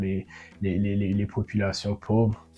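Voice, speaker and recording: A man with a Burundian accent, fairly low in pitch, speaking at a very slow pace over music in the background. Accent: Burundian, rural. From Burundi, rural. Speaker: podcaster. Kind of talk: improvised monologue. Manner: halting, many repetitions.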